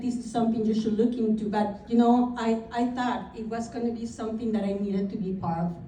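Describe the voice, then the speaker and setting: Audible room echo around a woman's fairly high pitch, with ordinary pitch variation. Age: 50s. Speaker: realtor. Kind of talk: speech. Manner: reading from notes.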